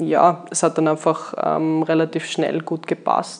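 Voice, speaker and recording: Speaking at a fairly slow pace, a woman talks in a fairly low-pitched voice. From Austria, Graz, Styria. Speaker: winery sales and export staff. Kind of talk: casual chat. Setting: on location at a winery.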